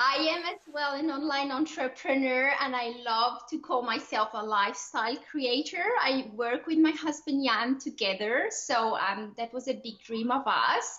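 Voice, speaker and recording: Over noticeable background noise, a woman speaks at a fairly slow pace in a French-Swiss accent with hardly any pauses. Her high voice has ordinary pitch variation. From Switzerland. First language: French or Swiss German. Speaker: online entrepreneur, lifestyle coach. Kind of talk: podcast interview. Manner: animated.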